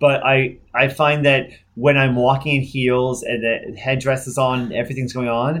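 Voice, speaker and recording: This man talks at a moderate pace and medium pitch, with hardly any pauses. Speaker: podcast host, drag queen. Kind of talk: casual chat interview. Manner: animated, jokey.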